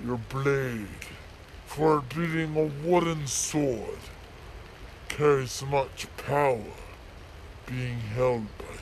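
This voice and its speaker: A man at a very slow pace with long, frequent pauses, fairly high pitch, fairly even intonation and clear background noise. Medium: voice reel. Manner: menacing, formal.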